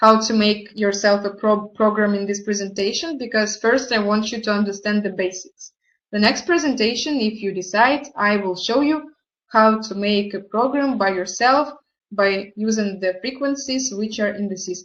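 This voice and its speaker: With a non-native accent, a woman speaks at a moderate pace in a fairly high pitch, using ordinary pitch variation. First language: not English. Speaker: product presenter. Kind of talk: online presentation tutorial. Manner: halting.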